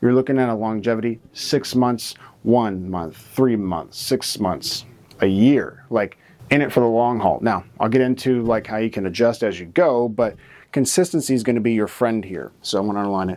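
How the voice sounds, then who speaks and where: Over a silent background in a very clean recording, a man speaks quietly at a medium pitch and moderate pace with ordinary pitch variation. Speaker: marketing educator. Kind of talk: tutorial. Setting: studio. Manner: somewhat quiet; casual, filler-heavy.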